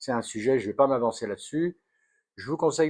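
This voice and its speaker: The intonation is lively. Behind the voice, the background stays quiet. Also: man. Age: 60s. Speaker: health vlogger. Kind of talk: casual chat. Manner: halting, many fillers.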